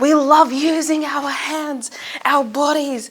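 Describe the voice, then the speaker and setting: A woman speaks in a high, animated voice. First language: Arabic. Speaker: student speaker. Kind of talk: speech.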